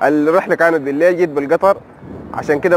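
Fairly even in intonation, a man speaks at a fairly quick pace. The sound is dry with no echo, and there is light background noise. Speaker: travel vlogger. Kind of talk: casual vlog chat. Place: street. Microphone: phone near.

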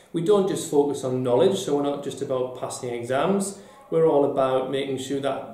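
In a room with audible echo, a man speaks at a moderate pace with ordinary pitch variation. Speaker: deputy head teacher. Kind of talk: interview answer. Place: office.

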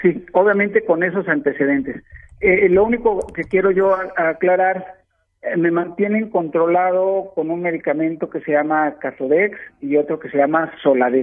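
A man talks at a moderate pace. His pitch is high. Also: ordinary pitch variation. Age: 60s. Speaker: caller, cancer patient. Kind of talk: phone call to radio show. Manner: halting.

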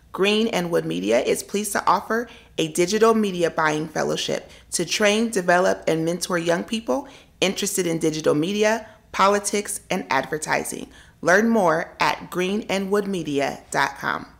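With music playing in the background, a woman talks at a moderate pace, her pitch varying an ordinary amount. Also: medium pitch for a woman. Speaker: talk show co-host. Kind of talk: casual interview. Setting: studio.

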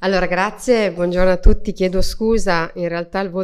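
At a fairly quick pace, a woman talks at a medium pitch in a plain, everyday voice. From Emilia-Romagna, Reggio Emilia; Emilia-Romagna. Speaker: member of parliament. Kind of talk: panel speech. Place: hall. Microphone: podium.

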